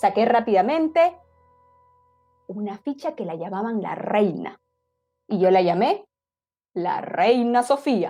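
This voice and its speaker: Over background music, a woman speaks at a very slow pace and fairly high pitch, with long, frequent pauses, very wide pitch swings and big swings in loudness. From Peru. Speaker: oral storyteller. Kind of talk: oral storytelling to family audience.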